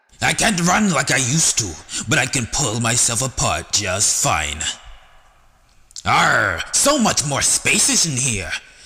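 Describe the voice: A man puts on a raspy character voice at a medium pitch. He speaks at a fairly slow pace with very wide pitch swings.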